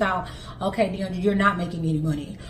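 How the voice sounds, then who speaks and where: An animated woman's voice with audible room echo and noticeable background noise. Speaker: stay-at-home mom vlogger. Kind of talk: casual monologue. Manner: fast.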